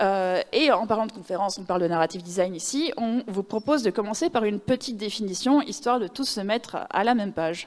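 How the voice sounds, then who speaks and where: On a very clean recording with a silent background, a woman with a Belgian accent talks at a fairly quick pace, with lively intonation and hardly any pauses. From Belgium. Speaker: narrative designer. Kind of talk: conference talk. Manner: casual, many filler words.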